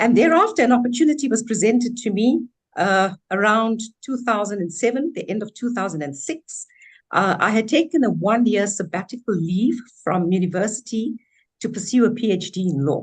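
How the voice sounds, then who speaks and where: At a fairly quick pace, a woman with a fairly high pitch speaks in a somewhat breathy voice with lively intonation. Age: 60s. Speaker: businesswoman and former law lecturer. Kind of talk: webinar self-introduction.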